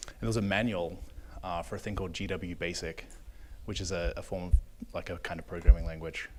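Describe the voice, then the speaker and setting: Over music in the background, a man with an Australian accent speaks at a fairly quick pace with ordinary pitch variation. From Australia, Melbourne. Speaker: software engineer. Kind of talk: panel discussion. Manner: halting.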